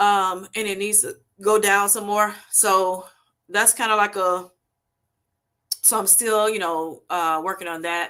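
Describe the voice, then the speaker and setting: A woman with an American accent speaks at a medium pitch in a bright, sharp tone. Her pace is fairly slow, her intonation fairly even, and her pauses long and frequent. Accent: Southern US, comes out at times. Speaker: health vlogger. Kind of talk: livestream talk. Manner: casual, hesitant with fillers.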